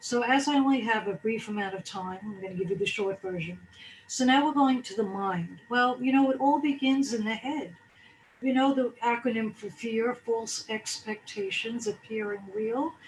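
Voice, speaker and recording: A woman's somewhat breathy, fairly high voice at a moderate pace, with ordinary pitch variation. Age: 60s. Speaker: wellness speaker. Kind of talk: motivational talk.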